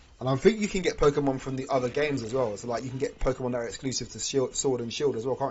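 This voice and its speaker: This man talks at a very fast pace. His pitch sits at a medium level. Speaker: gaming streamer. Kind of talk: live stream chat. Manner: animated.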